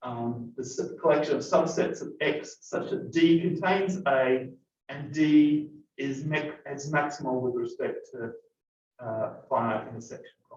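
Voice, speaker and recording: Somewhat breathy, a man speaks at a fairly slow pace with a fairly high pitch. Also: ordinary pitch variation, big swings in loudness. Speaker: math lecturer. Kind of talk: lecture. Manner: halting.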